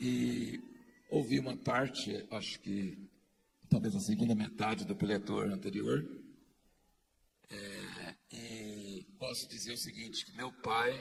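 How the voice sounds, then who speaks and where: A man's very slow delivery, broken by long, frequent pauses, with big swings in loudness. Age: 60s. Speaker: pastor. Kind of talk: testimony.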